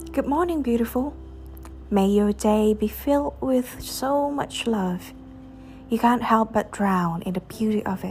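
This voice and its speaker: A woman with an ordinary speaking voice talks at a fairly slow pace, her fairly high pitch carried by lively intonation. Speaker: podcast host reading poetry. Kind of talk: poem performed, reading aloud of love poems.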